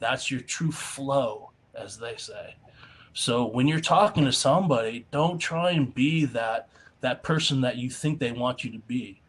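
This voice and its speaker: Over noticeable background noise, a man with a fairly high pitch speaks at a fairly slow pace, with ordinary pitch variation and big swings in loudness. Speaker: motivational speaker. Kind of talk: workshop feedback. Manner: animated.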